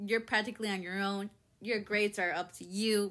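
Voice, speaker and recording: A woman's bright, sharp voice at fairly high pitch and moderate pace, in a very clean recording with a silent background. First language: Spanish. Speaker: podcast host. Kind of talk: personal monologue.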